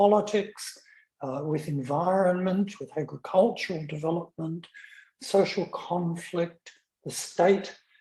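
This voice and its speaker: In an Australian accent, a man speaks at a very slow pace with a fairly high pitch, a dark, mellow tone and ordinary pitch variation. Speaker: academic lecturer. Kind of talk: lecture. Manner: halting, many fillers.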